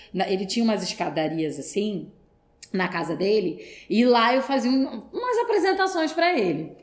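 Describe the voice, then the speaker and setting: A woman's pitch swings very widely as she talks at a moderate pace, with noticeable background noise and audible room echo. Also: fairly high pitch for a woman. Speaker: actress. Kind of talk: podcast interview.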